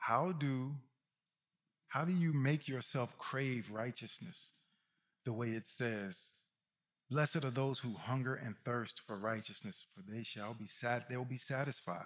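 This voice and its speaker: The speaker has a Southern US accent and an animated tone. The pace is fairly slow, with ordinary pitch variation. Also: man, medium pitch for a man. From Mississippi. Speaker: guest preacher and musician. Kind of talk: sermon.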